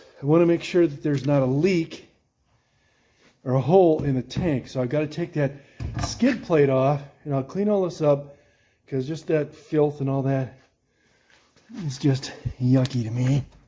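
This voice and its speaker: A man mumbling at a moderate pace, fairly high in pitch, with ordinary pitch variation and long, frequent pauses. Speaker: hobby mechanic restoring a jeep. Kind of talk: casual talk to camera while working. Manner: mumbling, talking to himself.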